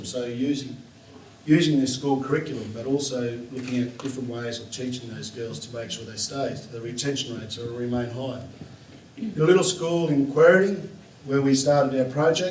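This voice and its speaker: A man's medium-pitched voice at a fairly quick pace, with ordinary pitch variation, big swings in loudness and noticeable background noise. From south-west Western Australia. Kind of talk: conference talk.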